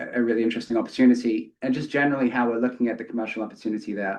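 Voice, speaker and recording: His intonation stays fairly even. The man talks in a British accent. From UK. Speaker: company executive. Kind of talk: earnings call remarks.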